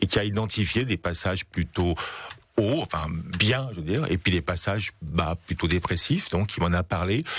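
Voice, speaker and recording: A man with a very deep, low pitch speaks at a moderate pace. His voice is somewhat breathy, and his intonation is lively. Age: 60s. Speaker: association president, bipolar patient advocate. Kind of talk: radio interview.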